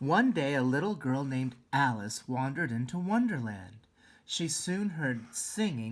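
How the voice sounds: The voice reads a text. It sounds natural.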